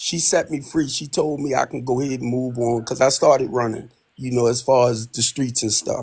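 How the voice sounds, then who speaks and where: Somewhat breathy and medium in pitch, a man with an American accent talks at a fairly quick pace with fairly even intonation. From US, Baltimore, Maryland. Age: 60s. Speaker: caller. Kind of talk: casual chat.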